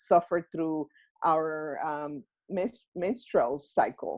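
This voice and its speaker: A woman talks at a very slow pace over a quiet background. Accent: Mexican. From Mexico. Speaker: self-healing workshop organizer. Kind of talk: interview answer.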